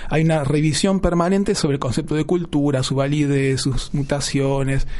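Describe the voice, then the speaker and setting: The loudness stays very even. There is noticeable background noise. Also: man. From Argentina, Buenos Aires. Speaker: historian. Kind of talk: interview. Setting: studio. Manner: halting, many fillers.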